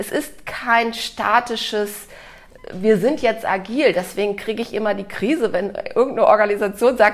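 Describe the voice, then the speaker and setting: A woman with a fairly high pitch talks at a moderate pace amid noticeable background noise. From Germany, Cologne. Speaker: author and organizational consultant. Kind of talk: interview conversation.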